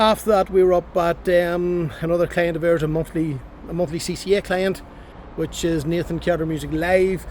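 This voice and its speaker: A man speaks in a Northern Irish accent. His pitch is high, and noticeable background noise is present. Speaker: transport compliance business owner vlogger. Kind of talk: casual vlog. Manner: fast.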